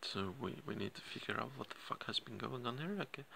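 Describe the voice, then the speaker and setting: A man whispering at a moderate pace. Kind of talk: casual vlog chat. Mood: distressed, emotional. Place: home room. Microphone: phone near.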